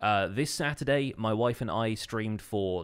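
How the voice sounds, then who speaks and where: A British accent with ordinary pitch variation, in a very clean recording with a silent background. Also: man. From Britain. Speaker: podcast co-host and Minecraft streamer. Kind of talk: casual chat.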